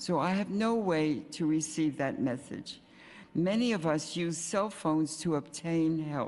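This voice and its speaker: In a room with audible echo, a woman speaks at a very deep, low pitch. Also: ordinary pitch variation, fairly slow pace, very even loudness. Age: 80s+. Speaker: senior citizen testifying at hearing. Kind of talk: public testimony. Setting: city council hearing with microphone.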